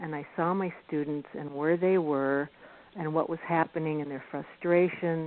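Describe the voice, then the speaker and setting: This is a normal speaking voice with fairly even intonation. The pace is fairly slow. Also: woman. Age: 60s. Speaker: golf professional and teacher. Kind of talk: radio interview.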